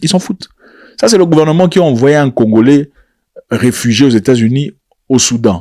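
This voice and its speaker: A man's fairly high-pitched voice with a dark, mellow tone and lively intonation, at a moderate pace broken by long, frequent pauses. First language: not French (speaking French). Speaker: political commentator. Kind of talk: video commentary. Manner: animated.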